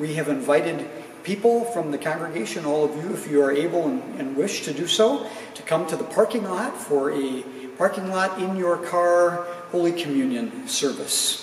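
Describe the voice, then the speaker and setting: Light background noise and audible room echo surround a man speaking with lively intonation. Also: moderate pace. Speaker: pastor. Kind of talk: worship welcome and announcements. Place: church.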